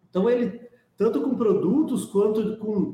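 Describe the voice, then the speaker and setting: A man speaks at a moderate pace. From Brazil, Ribeirão Preto (São Paulo state). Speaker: sports business executive. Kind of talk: interview.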